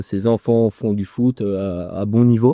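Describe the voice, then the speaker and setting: A man speaks with a dark, mellow tone at a fairly low pitch and ordinary pitch variation. The sound is dry and close with no echo, against a quiet background. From France, Haute-Savoie (Chablais, Évian). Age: 20s. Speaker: real estate agent. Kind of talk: casual round-table discussion. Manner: hesitant, many fillers.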